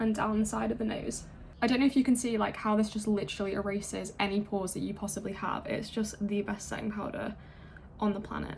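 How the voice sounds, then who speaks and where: Against noticeable background noise, a woman at a medium pitch speaks very fast in a flat monotone. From England. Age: 20s. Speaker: beauty and ASMR YouTuber. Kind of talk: get ready with me makeup tutorial; casual talk to camera.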